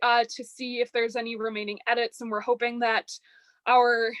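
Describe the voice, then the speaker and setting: Using a monotone, flat intonation, a woman with an American accent speaks at a moderate pace and fairly high pitch. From Chicago area, US Midwest. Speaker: undergraduate research fellow. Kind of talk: academic presentation.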